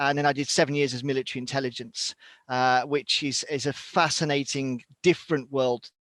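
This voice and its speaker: A man with a British accent and a fairly high pitch for a man is heard on a very clean recording with a silent background and a dry, close sound with no echo. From Britain. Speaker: survival instructor and former military reservist. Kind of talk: interview.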